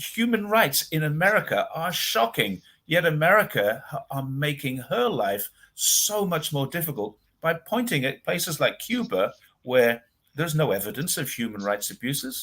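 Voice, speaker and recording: A man's fairly high, bright, sharp voice with vocal fry and very wide pitch swings at a moderate pace, on a very clean recording with a silent background. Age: 60s. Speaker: commentator on China. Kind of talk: casual chat. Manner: animated.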